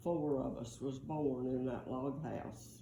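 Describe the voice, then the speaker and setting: Audible room echo carries a woman's dark, mellow voice as she speaks very slowly in a Southern US accent. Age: 80s+. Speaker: grandmother telling family history. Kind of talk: oral history storytelling. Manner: halting.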